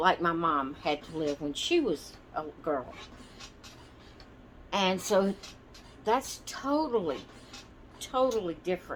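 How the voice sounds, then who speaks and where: With a Southern US accent, a woman speaks very slowly at a medium pitch with lively intonation. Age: 60s. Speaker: doll and craft channel host. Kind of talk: casual storytelling. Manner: meandering, hesitant.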